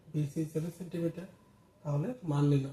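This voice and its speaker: A man speaks with a fairly high pitch and a dark, mellow tone. His intonation is flat and monotone. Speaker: maths teacher. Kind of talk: maths lesson explanation.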